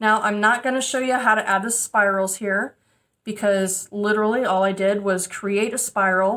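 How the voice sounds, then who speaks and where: Using a normal speaking voice at a medium pitch, a woman talks at a fairly slow pace with fairly even intonation. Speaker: metalsmithing teacher. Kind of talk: tutorial.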